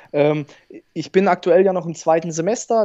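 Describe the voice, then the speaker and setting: Over a quiet background, a man with a fairly high pitch and a dark, mellow tone speaks at a moderate pace with ordinary pitch variation. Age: 20s. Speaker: bank advisor. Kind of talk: interview.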